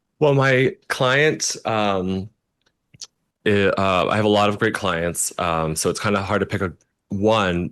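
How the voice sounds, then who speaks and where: Over a quiet background, a man speaks at a very slow pace with a fairly low pitch. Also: ordinary pitch variation. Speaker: celebrity makeup artist. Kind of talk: casual interview chat.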